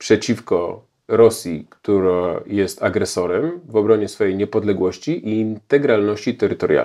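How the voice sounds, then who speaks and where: Against a quiet background, the voice carries a dark, mellow tone. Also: man. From Poland. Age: 40s. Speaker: historian and journalist; journalist. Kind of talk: Q&A interview answers. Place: home room. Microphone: lapel.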